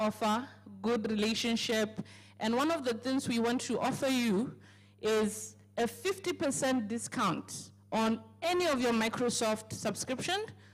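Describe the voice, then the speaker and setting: Fairly high in pitch, a woman speaks with an African accent at a fairly slow pace. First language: African language. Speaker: company speaker at business launch. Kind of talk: sales pitch. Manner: hesitant, filler-heavy.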